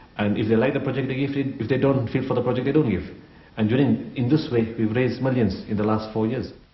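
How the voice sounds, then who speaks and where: A man talks at a very fast pace with ordinary pitch variation. Room echo is audible. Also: medium pitch for a man. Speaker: humanitarian aid organization founder. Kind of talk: interview testimony.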